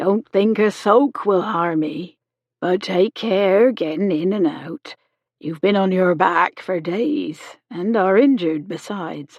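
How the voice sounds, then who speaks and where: In a put-on character voice, a woman speaks raspily at a medium pitch with ordinary pitch variation and a fairly slow pace, the sound dry and close with no echo. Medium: read story. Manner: brisk, homely, motherly.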